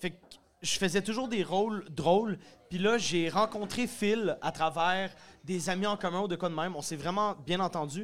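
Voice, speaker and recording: A man with a Quebec accent speaks at a moderate pace in a high voice with ordinary pitch variation. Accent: Québécois French. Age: 20s. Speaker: comedian and musician. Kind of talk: casual chat. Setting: stage with audience.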